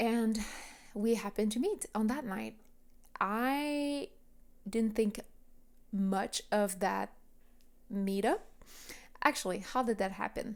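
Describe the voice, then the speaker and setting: A woman with a French accent, fairly high in pitch, at a very slow pace with ordinary pitch variation and long, frequent pauses. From Quebec, Montreal area. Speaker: podcast host. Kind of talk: personal storytelling monologue. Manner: casual, conversational.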